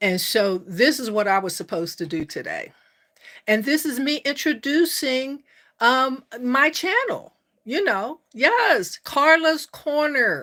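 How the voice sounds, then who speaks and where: At a very slow pace, a woman uses a raised, projected voice that is high-pitched, bright and sharp, with very wide pitch swings. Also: very clean recording, silent background. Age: 60s. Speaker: life coach and YouTuber. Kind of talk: live stream chat with viewers. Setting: live stream. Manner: warm, enthusiastic.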